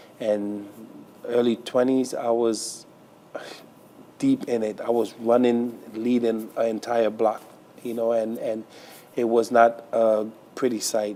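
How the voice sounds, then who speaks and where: Amid noticeable background noise, a man at medium pitch speaks at a very slow pace in a flat monotone, with long, frequent pauses. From Trinidad, raised in Brooklyn, New York. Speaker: pastor. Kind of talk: interview testimony.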